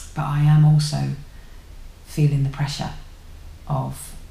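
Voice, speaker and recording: A woman speaks at a fairly slow pace in an English accent, with audible room echo. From England. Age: 30s. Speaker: YouTuber; vlogger. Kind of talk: casual vlog monologue. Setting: at home. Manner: halting. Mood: reflective, thoughtful. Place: home room. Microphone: webcam.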